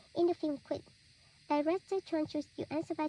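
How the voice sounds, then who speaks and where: Speaking fairly quickly with a Vietnamese accent, a woman has a high pitch and a dark, mellow tone, with a dry, close sound and no echo. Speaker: student. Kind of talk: reading aloud.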